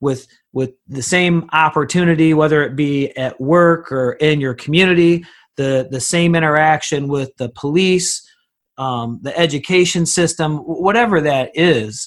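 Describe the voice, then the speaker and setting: Against a quiet background, a man with a fairly high pitch talks at a fairly slow pace in an ordinary speaking voice, with ordinary pitch variation. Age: 40s. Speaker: podcast host. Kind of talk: interview.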